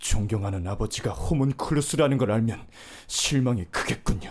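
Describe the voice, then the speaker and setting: Doing a put-on character voice, a man speaks quietly and with strain at a medium pitch and moderate pace, his intonation lively, in a very clean recording with a silent background. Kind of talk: dubbing practice. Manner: quiet, restrained.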